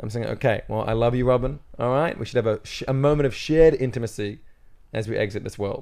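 A man's plain, everyday voice at medium pitch and a fairly quick pace. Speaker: comedian. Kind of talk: casual chat. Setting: studio.

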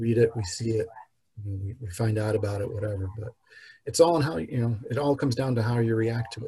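A man with an American accent, fairly quick and somewhat breathy, his tone dark and mellow at a medium pitch with ordinary pitch variation. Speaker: podcast guest sharing life story. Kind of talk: personal testimony.

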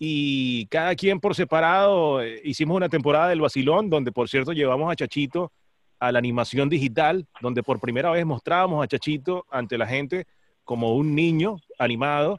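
A moderate pace with a Venezuelan accent. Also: man, fairly high pitch for a man, ordinary pitch variation. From Venezuela, Maracay. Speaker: radio host. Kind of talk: casual chat.

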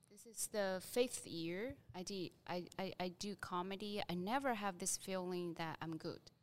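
At a fairly slow pace with hardly any pauses, a woman speaks in a medium pitch with ordinary pitch variation. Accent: Chinese. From China. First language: Mandarin Chinese. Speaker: stand-up comedian. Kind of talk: casual chat.

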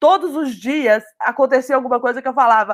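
On a very clean recording with a silent background, the speaker moves at a fairly quick pace with ordinary pitch variation. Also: woman. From Brazil, Minas Gerais (Belo Horizonte). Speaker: marketing professional at a startup. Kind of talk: casual interview.

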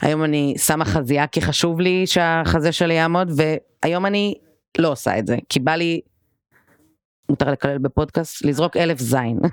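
A woman speaks at a moderate pace with a very deep, low pitch and ordinary pitch variation. The recording is very clean with a silent background and a dry, close sound with no echo. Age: 20s. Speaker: stylist and lecturer. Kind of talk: podcast interview.

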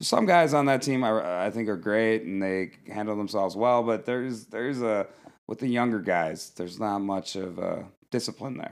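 With ordinary pitch variation, an ordinary speaking voice keeps a moderate pace. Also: man, medium pitch for a man. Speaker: camp counselor and guest. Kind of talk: casual late-night chat. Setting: studio at summer camp, late night.

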